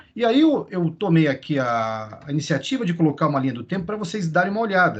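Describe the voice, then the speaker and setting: Noticeable background noise surrounds the recording. A man speaks at a fairly high pitch with lively intonation. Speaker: teacher trainer. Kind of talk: lecture. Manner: fast; halting.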